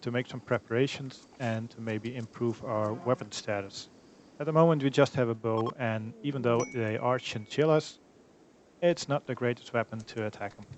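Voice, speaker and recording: A man speaks at a medium pitch with ordinary pitch variation. His pace is moderate. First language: not English. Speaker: gaming YouTuber. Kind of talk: let's play commentary.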